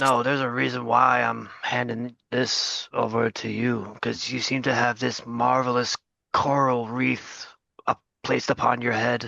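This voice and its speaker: In a put-on character voice, a man speaks at a moderate pace with a raspy, medium-pitched sound. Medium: actual play. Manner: smooth, persuasive.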